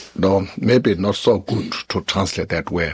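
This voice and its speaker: Here a man speaks with a Tibetan accent. He goes at a fairly slow pace. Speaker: Buddhist teacher. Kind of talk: question and answer after a dharma teaching. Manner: halting.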